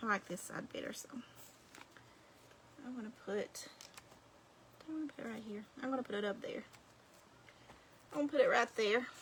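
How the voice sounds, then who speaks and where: Against noticeable background noise, the speaker moves at a fairly quick pace with long, frequent pauses, big swings in loudness and ordinary pitch variation. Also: woman. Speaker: crafting video creator. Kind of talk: craft tutorial livestream. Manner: casual, chatty.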